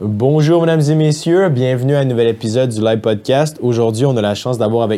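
A man speaks in a Quebec accent with a dark, mellow tone. His pitch varies in an ordinary way. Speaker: podcast host. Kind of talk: casual interview. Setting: studio.

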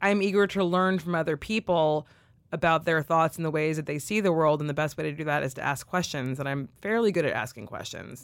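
In a very clean recording with a silent background, the speaker uses a West Coast US accent and ordinary pitch variation. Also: woman, very deep, low pitch for a woman. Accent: General American (West Coast). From California. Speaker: writer and podcast co-host. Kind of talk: casual interview.

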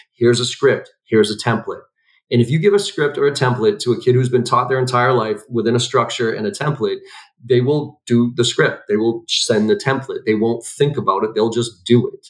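A man talks fairly quickly at a medium pitch, sounding somewhat breathy, with ordinary pitch variation. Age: 40s. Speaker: sales trainer and CEO. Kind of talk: interview conversation.

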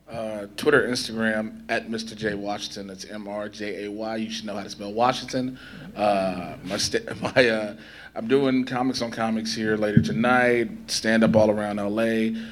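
A man with an American accent speaks at a moderate pace in a normal speaking voice, medium in pitch. His intonation stays fairly even while his loudness swings widely. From Chicago South Side, US. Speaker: entertainment interviewer and panelist. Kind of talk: convention panel discussion.

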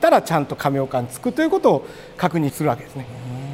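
Over noticeable background noise, a man's voice moves through very wide pitch swings. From Osaka, Japan. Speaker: particle physicist. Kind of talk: casual interview.

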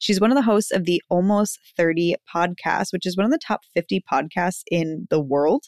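Her fairly low voice, with ordinary pitch variation and very even loudness, moves at a moderate pace with hardly any pauses, and the sound is dry and close with no echo. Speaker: podcast host, brand and business strategist. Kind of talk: solo podcast monologue. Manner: animated.

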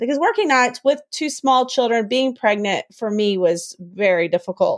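Lively intonation marks this woman's unremarkable speaking voice at a moderate pace. The very clean recording has a silent background and a dry, close sound with no echo. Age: 40s. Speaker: homeschooling mother of seven boys. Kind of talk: interview conversation.

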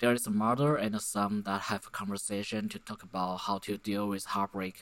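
A man is speaking. He has a Chinese accent. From Taiwan. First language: Mandarin Chinese. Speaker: podcaster. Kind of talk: solo monologue. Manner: halting; many fillers.

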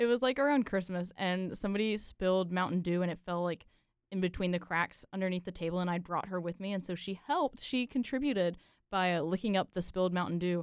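The pace is very fast. A woman speaks at medium pitch with ordinary pitch variation. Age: 20s. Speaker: engineering student. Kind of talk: casual chat.

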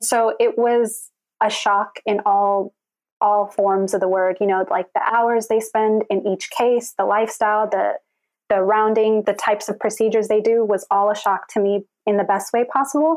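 A woman with an ordinary speaking voice speaks at a moderate pace and fairly high pitch, with fairly even intonation and very even loudness. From Texas, Houston. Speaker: medical student. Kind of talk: interview.

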